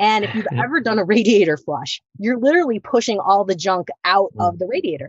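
A medium-pitched woman's voice with an American accent and vocal fry, fairly quick with hardly any pauses, full of very wide pitch swings. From US Midwest. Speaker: acupuncturist and functional medicine practitioner. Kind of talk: interview.

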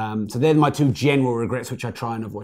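A man with an English accent speaks at a very fast pace in a medium pitch. His intonation stays fairly even. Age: 40s. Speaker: entrepreneur and author. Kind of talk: casual interview. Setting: live stream.

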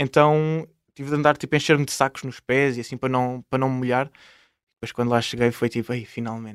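A man speaks at a medium pitch and a very fast pace. The recording is very clean, with a silent background and a dry, close sound with no echo. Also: fairly even intonation. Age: 20s. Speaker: traveller and travel YouTuber. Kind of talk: casual interview.

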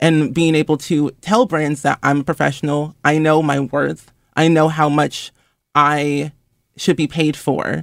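Recorded very cleanly with a silent background and a dry, close sound with no echo, a man speaks at a moderate pace and fairly high pitch in a plain, everyday voice. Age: 20s. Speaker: influencer and gaming content creator. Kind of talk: interview.

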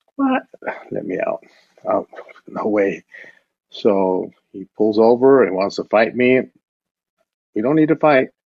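A man speaks in an American accent at a fairly slow pace. His speech has long, frequent pauses. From El Paso, Texas. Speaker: criminal justice researcher. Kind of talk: interview.

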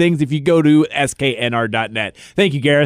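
In a very clean recording with a silent background, a man speaks at a fairly slow pace. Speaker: radio host. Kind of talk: casual chat.

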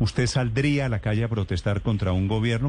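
The voice belongs to a man and is somewhat breathy. Its pitch sits fairly low. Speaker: radio interviewer. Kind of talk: radio interview.

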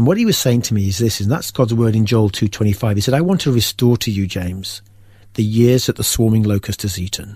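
A man with an English accent talks at a fairly quick pace. His medium-pitched voice is somewhat breathy. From England. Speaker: faith testimony guest. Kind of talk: testimony. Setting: studio.

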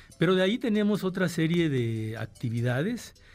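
The man's voice sits fairly high and moves at a moderate pace. Its pitch swings very widely. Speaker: university rector. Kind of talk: radio interview, formal answers.

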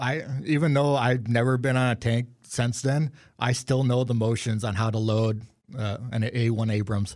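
A man with an American accent uses an ordinary speaking voice at a medium pitch and moderate pace, with fairly even intonation and very even loudness, on a very clean recording with a silent background. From Wisconsin (Marinette). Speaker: army national guard veteran. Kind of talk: interview.

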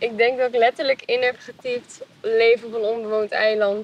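Fairly quick speech with a dry, close sound and no echo. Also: woman. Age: 20s. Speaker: reality show contestant, recent design graduate. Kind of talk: casual interview.

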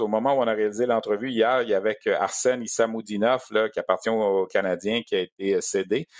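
A man speaks at a medium pitch with fairly even intonation. The sound is dry and close with no echo, over a quiet background. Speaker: sports radio host. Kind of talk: sports podcast interview.

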